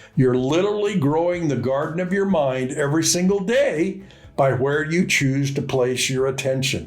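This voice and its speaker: With music in the background, a man speaks at a moderate pace in a fairly high pitch with lively intonation. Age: 80s+. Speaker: business mentor. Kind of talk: casual talk to camera.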